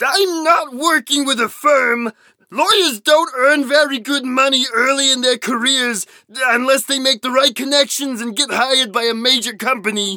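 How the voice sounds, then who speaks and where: A put-on character voice speaks at a moderate pace with a high pitch. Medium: actual play. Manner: earnest, formal.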